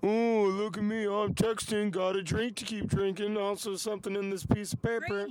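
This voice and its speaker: A man's put-on character voice, high in pitch and monotone with flat intonation, over light background noise. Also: moderate pace. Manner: mocking, exaggerated.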